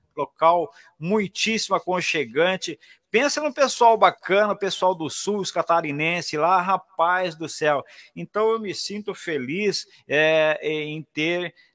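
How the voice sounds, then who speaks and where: A man's high voice at a very slow pace, lively intonation, dry sound with no echo, and a quiet background. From Paraná, Brazil (Maringá); Paraná, Brazil. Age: 60s. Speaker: radio announcer. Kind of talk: casual interview. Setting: video call. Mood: warm, nostalgic storytelling. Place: booth. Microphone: studio mic.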